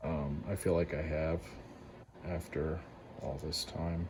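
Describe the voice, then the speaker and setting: A man with a very deep, low, somewhat breathy voice speaks at a very slow pace in a monotone, flat intonation. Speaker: lock picking hobbyist. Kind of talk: tutorial. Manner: hesitant, many fillers.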